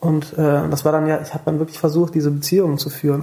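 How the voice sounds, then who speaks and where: A man talks at a very fast pace in a fairly high pitch with monotone, flat intonation. Noticeable background noise runs underneath. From Rhineland, western Germany (near Bonn). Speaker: musician. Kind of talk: casual chat.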